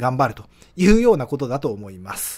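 On a very clean recording with a silent background, a man speaks at a fairly quick pace. His pitch swings very widely. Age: 50s. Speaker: early retiree vlogger. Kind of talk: solo monologue with slides. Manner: many filler hesitations.

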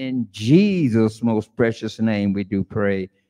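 With little behind him, the man's dark, mellow tone shows ordinary pitch variation. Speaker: pastor. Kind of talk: prayer and service leading. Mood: solemn, earnest. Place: church. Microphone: podium.

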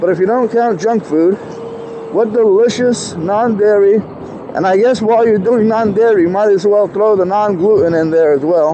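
Over noticeable background noise, a man with a high pitch speaks at a moderate pace with ordinary pitch variation. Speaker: rider vlogger. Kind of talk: casual vlog chat. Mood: relaxed, joking. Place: street. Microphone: lapel.

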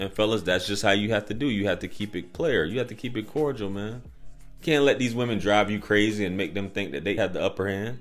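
Very fast and fairly low-pitched, a man talks with ordinary pitch variation while faint music plays behind him. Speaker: dating advice youtuber. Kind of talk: casual commentary monologue. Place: home room. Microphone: studio mic.

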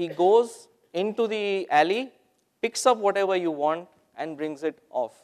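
The background is quiet. A man speaks in a high pitch. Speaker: presenter. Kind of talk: conference talk. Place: hall.

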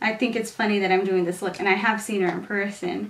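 With audible room echo around her, a woman speaks at a fairly high pitch. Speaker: beauty vlogger / teacher; beauty vlogger, teacher. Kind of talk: makeup tutorial. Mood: relaxed, chatty. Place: home room.

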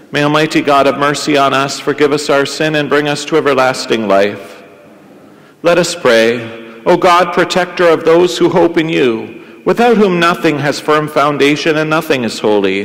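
His pace is moderate. Pitch variation is ordinary. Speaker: priest celebrating Mass. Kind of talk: liturgical prayer and scripture reading. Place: church.

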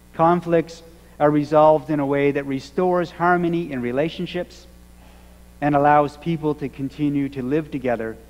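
A man at a moderate pace, with ordinary pitch variation and long, frequent pauses. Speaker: minister. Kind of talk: sermon. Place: church. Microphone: podium.

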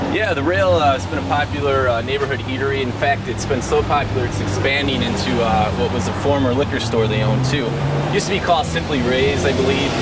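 A man talks at a very fast pace over loud background noise. The sound is dry with no echo. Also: hardly any pauses. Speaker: real estate agent tour guide. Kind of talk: interview answer. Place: street. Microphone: phone near.

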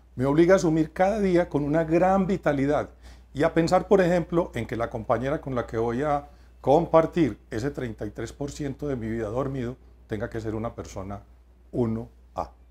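A man's dark, mellow tone, fairly high in pitch, with lively intonation at a moderate pace. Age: 50s. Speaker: writer and researcher on workplace wellbeing; lecturer, interview guest. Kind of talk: TV interview. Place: studio. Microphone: lapel.

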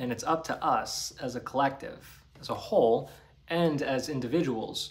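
A man talks at a fairly slow pace. His pitch variation is ordinary. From New Jersey / Staten Island, US; New Jersey. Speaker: spiritual healer and YouTuber; spiritual vlogger. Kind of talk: solo monologue to camera. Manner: casual. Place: home room. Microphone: phone near.

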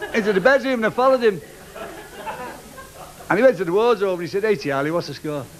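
Crowd noise runs in the background as a man speaks at a very fast pace. His pitch is high and his intonation lively. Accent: Liverpool. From Liverpool. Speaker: stand-up comedian. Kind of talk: stand-up comedy routine. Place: stage. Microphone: studio mic.

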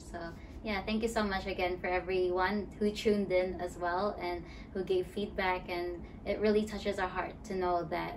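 A woman speaks at a moderate pace in a flat monotone. Noticeable background noise sits behind her. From Philippines. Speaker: youth ministry coordinator. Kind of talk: casual chat. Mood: warm, grateful. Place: home room.

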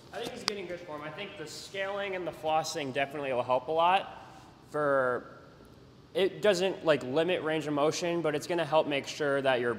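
This is a man with an ordinary speaking voice. His intonation is lively. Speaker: jump training coach. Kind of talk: casual workout instruction. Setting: gym.

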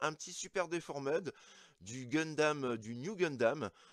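A man speaks at a very slow pace with lively intonation. The sound is dry with no echo, over a quiet background. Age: 40s. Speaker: toy collector YouTuber. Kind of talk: unboxing review. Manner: hesitant, many fillers; enthusiastic. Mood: enthusiastic. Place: home room.

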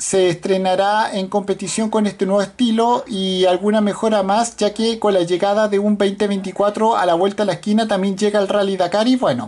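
Delivered at a moderate pace, the speech flows on with hardly any pauses. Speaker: car news commentator. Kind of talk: commentary reading an article. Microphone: phone near.

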